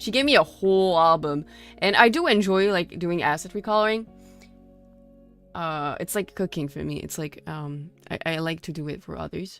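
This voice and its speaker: With an American accent, a woman speaks at a fairly low pitch and a moderate pace, using ordinary pitch variation. Her loudness swings widely, and music plays in the background. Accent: mostly American but slightly off. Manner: casual, conversational.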